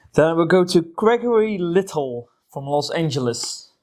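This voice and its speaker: The speaker has a non-native accent and a dark, mellow tone. The pace is moderate, with very wide pitch swings. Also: woman. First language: not English. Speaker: board game youtuber. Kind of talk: casual chat with reading aloud.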